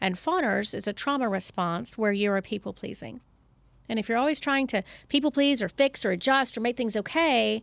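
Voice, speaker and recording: Fairly high in pitch, a woman speaks with a Southern US accent, an animated tone and lively intonation. The recording is very clean and the background silent. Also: fairly quick pace, dry, close sound with no echo. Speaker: psychotherapist. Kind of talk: podcast interview.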